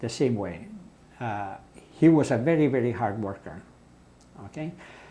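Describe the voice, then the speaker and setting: A man speaks with very wide swings in pitch and a dark, mellow tone. His voice is somewhat breathy. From Italy. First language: Italian. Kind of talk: interview answer.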